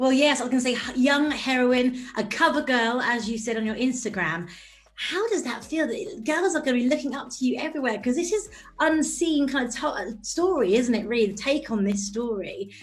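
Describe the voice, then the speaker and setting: Lively intonation carries a voice with a British accent through audible room echo. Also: woman, high pitch for a woman, fairly quick pace. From Britain. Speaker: entertainment interviewer. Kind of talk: interview.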